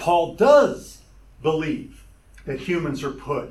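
His pitch moves in an ordinary way as the man talks. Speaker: Bible teacher. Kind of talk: Bible teaching lecture. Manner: loud and excited when teaching.

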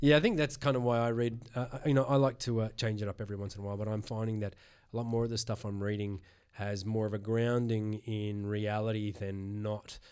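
Fairly quick male speech with an Australian accent, fairly low pitch, fairly even intonation, and a very clean recording with a silent background. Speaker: podcast host. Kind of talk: casual interview chat.

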